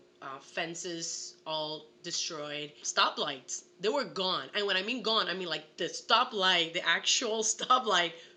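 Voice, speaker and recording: A woman with a fairly low voice talks at a fairly slow pace in an animated tone, her pitch varying normally over noticeable background noise. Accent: Puerto Rican. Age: 20s. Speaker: actress. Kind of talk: casual chat.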